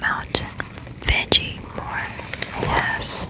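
A whisper delivered at a very slow pace. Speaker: ASMR creator. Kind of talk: ASMR whispered reading of a pizza coupon. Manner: whispering, soft-spoken. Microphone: studio mic.

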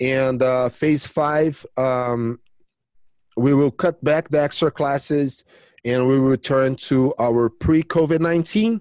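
At a very slow pace, a man with a Brazilian accent speaks at a fairly high pitch with ordinary pitch variation and very even loudness, the sound dry and close with no echo. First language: Portuguese. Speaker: jiu-jitsu coach and champion. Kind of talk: casual interview chat. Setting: video call.

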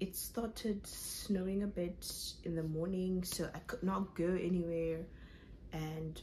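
The speech moves at a very slow pace. Light background noise can be heard. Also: woman. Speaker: vlogger. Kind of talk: casual vlog chat. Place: home room. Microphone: phone near.

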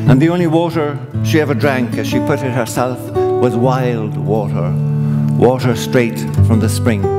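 There is loud background noise as a man talks at a fairly slow pace. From Ireland. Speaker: storyteller. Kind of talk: live stage storytelling with guitar accompaniment. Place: stage. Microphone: headset.

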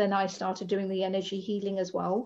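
A woman speaks in a dark, mellow tone against a quiet background. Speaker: spiritual lifestyle coach. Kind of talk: interview conversation. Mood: warm, encouraging. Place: home room. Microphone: video call.

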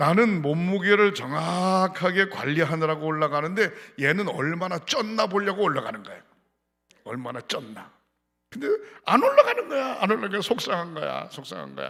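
Using a bright, sharp tone, a man with a high-pitched voice talks at a moderate pace with lively intonation and big swings in loudness. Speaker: pastor. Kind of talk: sermon. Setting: church.

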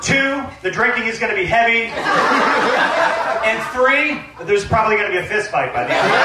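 A man talks with hardly any pauses amid audible room echo and loud background noise. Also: moderate pace. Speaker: best man giving a wedding toast. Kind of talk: wedding toast, joke-filled best man speech. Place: tent.

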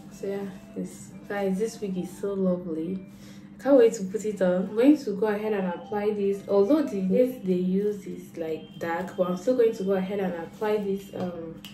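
A woman talks at a moderate pace with ordinary pitch variation. Audible room echo and light background noise surround her voice. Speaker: vlogger. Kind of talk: casual vlog chat. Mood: cheerful and excited. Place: home room. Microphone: phone near.

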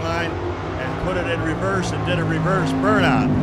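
A man speaks with an American accent. Loud background noise is present. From Ohio, USA. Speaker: teacher and school bus driver. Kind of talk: casting video talk to camera. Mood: confident, humorous. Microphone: handheld.

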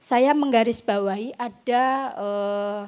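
Fairly even intonation comes through over a quiet background. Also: woman. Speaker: literary critic and researcher; panel discussant on poetry book. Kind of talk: panel talk. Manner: halting. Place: stage. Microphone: handheld.

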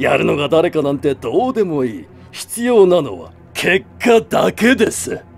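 A put-on character voice plays over music in the background. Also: man, high pitch for a man, fairly slow pace. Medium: dub. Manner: calm, authoritative.

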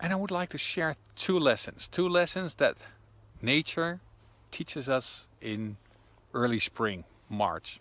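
A man with a fairly high pitch and a bright, sharp tone speaks with lively intonation and long, frequent pauses, in a dry sound with no echo. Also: fairly slow pace. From Netherlands. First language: Dutch. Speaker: intuition coach. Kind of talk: vlog monologue. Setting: outdoors in woods. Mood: calm, reflective. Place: forest. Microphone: phone near.

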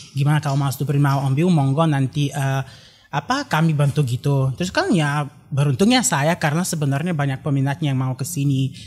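A man with a Bulgarian accent speaks at a fairly quick pace, his pitch fairly high and his voice somewhat breathy, with fairly even intonation. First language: Bulgarian (speaking Indonesian). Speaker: graduate student and traditional dance learner; guest. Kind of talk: casual interview. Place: studio. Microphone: studio mic.

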